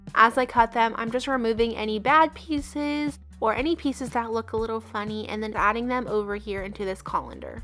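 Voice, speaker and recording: A woman speaks at a fairly high pitch with ordinary pitch variation and hardly any pauses. Music plays in the background. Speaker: home cook. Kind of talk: cooking tutorial narration. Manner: friendly, casual.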